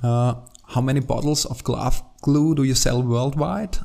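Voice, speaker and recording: A man speaks with an Austrian accent. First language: German. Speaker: podcast host and company CEO. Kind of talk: interview. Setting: in person at company headquarters. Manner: halting, many filler sounds.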